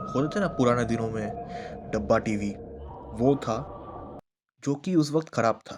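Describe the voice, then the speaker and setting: A man's medium-pitched voice over music in the background. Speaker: YouTube horror storyteller. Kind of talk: storytelling.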